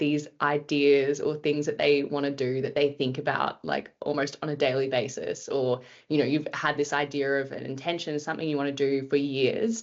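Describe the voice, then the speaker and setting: The woman's pitch is very deep and low. She talks at a moderate pace. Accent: Australian. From Australia, Brisbane. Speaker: podcast guest, expat. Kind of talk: interview conversation.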